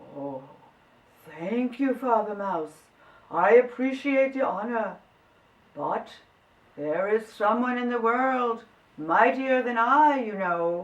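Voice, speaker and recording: A female-sounding put-on character voice, fairly high in pitch for a woman, comes with long, frequent pauses. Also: fairly slow pace. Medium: read story.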